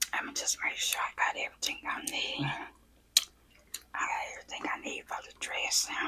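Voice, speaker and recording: A whispering speaker goes at a fairly quick pace with long, frequent pauses over noticeable background noise. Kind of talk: ASMR casual talk to camera. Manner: whispered.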